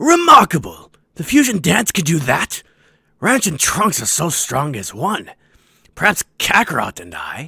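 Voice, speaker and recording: A man does a raspy, high-pitched put-on character voice. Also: moderate pace. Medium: dub. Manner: boastful, commanding.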